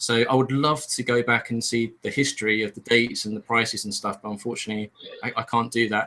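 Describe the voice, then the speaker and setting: A man at a very fast pace, fairly even intonation, noticeable background noise. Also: medium pitch for a man. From Europe. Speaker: podcast co-host. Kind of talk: casual chat.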